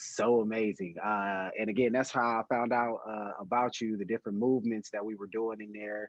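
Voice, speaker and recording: A man speaks at a fairly quick pace in a medium pitch. He has a plain, everyday voice with fairly even intonation. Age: 30s. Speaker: podcast host. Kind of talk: casual chat.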